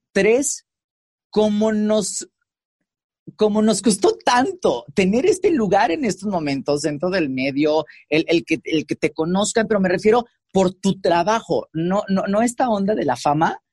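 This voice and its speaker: In a dry, close sound with no echo, a man with a high pitch talks fairly slowly with lively intonation. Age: 30s. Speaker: radio host and TV presenter. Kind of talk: casual interview chat. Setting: recording booth.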